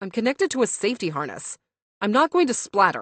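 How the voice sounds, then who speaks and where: A female-sounding put-on character voice growls at a very fast pace, fairly high in pitch. Its pitch swings very wide. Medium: read story. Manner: snappish, defensive.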